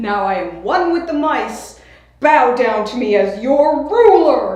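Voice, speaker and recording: A put-on character voice, female-sounding and high-pitched, with very wide pitch swings, a fairly slow pace and a clear echo. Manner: proud, commanding.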